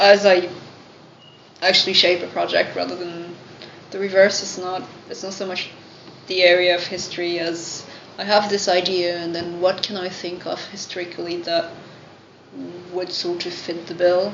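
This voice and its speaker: Woman with a French accent, fairly low and monotone, with long, frequent pauses and big swings in loudness, amid noticeable background noise and audible room echo. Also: moderate pace. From France. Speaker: writer. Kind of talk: Q&A at live event.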